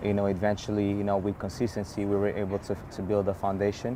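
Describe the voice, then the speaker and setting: Speaking very fast with a non-native accent, a man keeps a fairly low pitch and monotone, flat intonation. Noticeable background noise runs through the clip. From New York. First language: not English. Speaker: run club founder. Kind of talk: interview. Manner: repeats words, halting.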